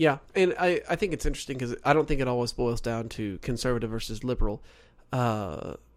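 An ordinary speaking voice, a man with an American accent talks at a fairly quick pace with ordinary pitch variation on a very clean recording with a silent background. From Oklahoma. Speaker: co-host. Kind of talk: casual chat. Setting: studio.

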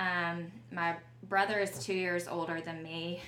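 A woman with a Southern US accent speaks at a fairly low pitch, with audible room echo. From Alabama, small town south of Montgomery. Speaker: business co-founder. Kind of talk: casual interview.

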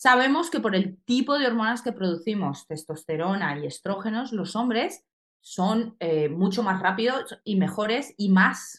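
With a plain, everyday voice, a woman at medium pitch speaks fairly slowly, her intonation lively. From Colombia. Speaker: soldier. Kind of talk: casual chat.

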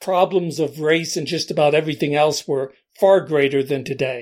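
In a plain, everyday voice, a man with an American accent speaks at a fairly slow pace, his pitch fairly high with ordinary variation. The recording is very clean, with a silent background. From US Northeast, Allentown, Pennsylvania. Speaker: podcast host. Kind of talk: scripted monologue. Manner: measured, essay-like delivery.

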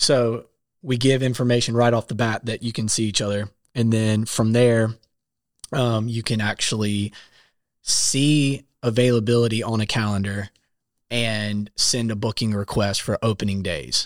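An American-accented man with an unremarkable speaking voice talks at a medium pitch and moderate pace with fairly even intonation, in a very clean, dry, close recording with no echo and a silent background. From South Carolina. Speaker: app founder, songwriter and software developer. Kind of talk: casual interview. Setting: studio.

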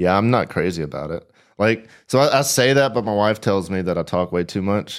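On a very clean recording with a silent background, a man with a Southern US accent talks at a fairly quick pace in a fairly low voice with lively intonation. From Tennessee, Nashville. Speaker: fishing youtuber and podcast co-host. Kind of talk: casual chat. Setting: home studio.

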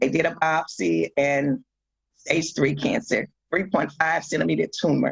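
A woman at a fairly slow pace, very even loudness, and a dry, close sound with no echo. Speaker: metastatic breast cancer survivor and advocate. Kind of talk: testimony.

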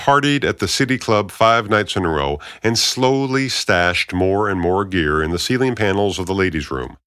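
Lively intonation over plain reading aloud

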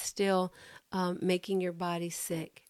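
A woman speaks in an animated tone, recorded very cleanly against a silent background. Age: 50s. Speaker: mental health clinician and faith-based educator. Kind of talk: faith-based psychoeducation talk.

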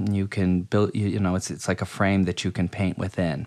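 A man speaks with an American accent and a fairly low pitch. The recording is very clean, with a silent background. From US Midwest, Akron Ohio. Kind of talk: casual interview conversation.

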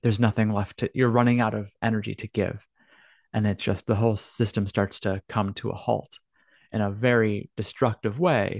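A normal speaking voice from a man, fairly low in pitch and fairly even in intonation, with a dry, close sound with no echo and a quiet background. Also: moderate pace. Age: 30s. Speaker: podcast host and life coach. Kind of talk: solo monologue podcast.

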